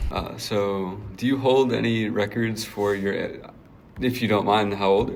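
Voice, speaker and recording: A man's very deep, low pitch with a dark, mellow tone and vocal fry. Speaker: student staff writer and podcast guest host. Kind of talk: podcast interviewer.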